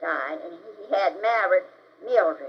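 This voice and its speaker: A woman speaks at a very slow pace in a Texas accent, her pitch fairly high. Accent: Southern US (Texas). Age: 80s+. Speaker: retired educator and civil rights activist. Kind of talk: interview answer.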